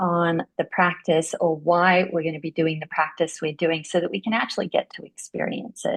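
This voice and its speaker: A woman speaks with an Australian accent. Her pitch is fairly low. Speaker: interviewer, yoga therapy book club host. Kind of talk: interview.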